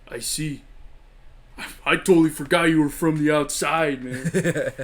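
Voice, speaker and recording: Putting on a character voice, a man drawls at a moderate pace with fairly even intonation and a fairly high pitch. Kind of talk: comic stoner impression. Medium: game stream. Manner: mellow, drawling, ends phrases with "man".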